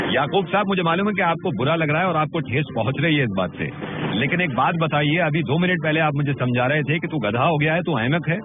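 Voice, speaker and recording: A man with a plain, everyday voice, pitched fairly high. He speaks with hardly any pauses and ordinary pitch variation. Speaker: radio jockey doing prank calls. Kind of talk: prank phone call, comic banter.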